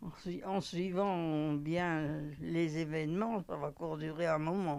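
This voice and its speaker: The pace is very slow. Intonation stays fairly even throughout. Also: woman, very deep, low pitch for a woman. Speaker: nursing home resident. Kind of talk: interview testimony.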